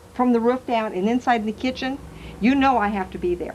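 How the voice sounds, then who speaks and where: This woman's voice sits fairly high, with ordinary pitch variation. She speaks at a fairly quick pace. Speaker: psychic medium. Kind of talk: talk to a live audience. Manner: fast; animated.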